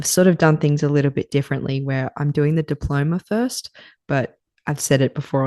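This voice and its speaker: Soft-spoken with a dark, mellow tone, the voice has an Australian accent and a dry, close sound with no echo against a quiet background. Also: woman. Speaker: podcast host, naturopathy student. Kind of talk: casual solo podcast talk. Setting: home at night, kids' bedtime. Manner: quiet, soft.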